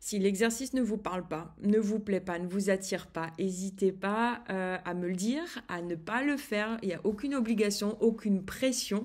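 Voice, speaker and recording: A woman with a medium pitch talks with hardly any pauses and ordinary pitch variation. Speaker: eating behaviour coach. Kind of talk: online course video. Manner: slow, soft-spoken; halting, many hesitations.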